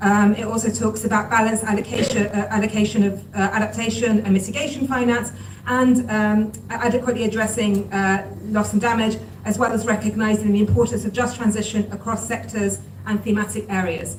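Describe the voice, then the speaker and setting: Speaking at a fairly quick pace, a woman uses a fairly high pitch and monotone, flat intonation. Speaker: climate policy expert. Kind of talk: panel discussion. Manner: fast.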